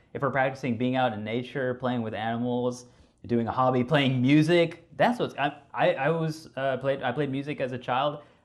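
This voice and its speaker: A man's medium-pitched voice, with audible room echo. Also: fairly even intonation, moderate pace. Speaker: clinical psychologist giving a talk. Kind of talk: lecture.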